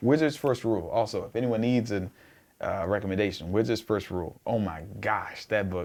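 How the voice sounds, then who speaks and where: A man at a fairly low pitch and moderate pace, in a very clean recording with a silent background. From US South, southeast Georgia (Blackshear). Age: 20s. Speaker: singer-songwriter. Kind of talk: casual interview chat. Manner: animated, storytelling.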